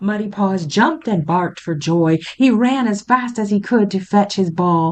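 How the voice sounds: Just a natural reading voice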